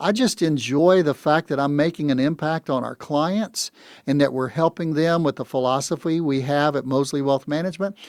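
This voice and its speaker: An unremarkable speaking voice with an American accent moves at a moderate pace. The pitch varies in an ordinary way, and the sound is dry and close with no echo. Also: man, fairly high pitch for a man. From US South. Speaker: retirement financial advisor. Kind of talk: radio talk show conversation.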